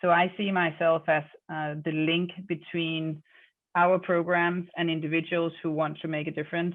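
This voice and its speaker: In a monotone, flat intonation, a woman speaks at a fairly low pitch. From Denmark. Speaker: literacy charity fundraiser. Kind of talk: podcast interview. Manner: hesitant with many fillers.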